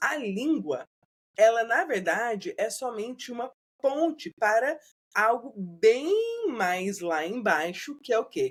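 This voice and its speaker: Her pitch is fairly high and moves in very wide swings. The woman speaks at a very slow pace. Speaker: bilingual educator. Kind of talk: podcast interview.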